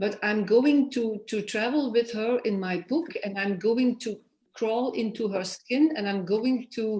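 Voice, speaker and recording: Speaking with a Flemish accent, a woman with a somewhat breathy, fairly high voice talks at a fairly slow pace with lively intonation. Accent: Flemish Dutch accent in English. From Flanders, Belgium. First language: Dutch (Flemish). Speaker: author. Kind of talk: interview. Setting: festival stage. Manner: halting.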